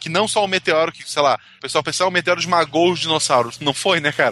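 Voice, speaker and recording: Here is a man with a plain, everyday voice at a fairly high pitch. He talks at a fairly quick pace, and the sound is dry and close with no echo. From Santa Catarina, Brazil (Gaspar). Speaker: science podcast co-host. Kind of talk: casual chat.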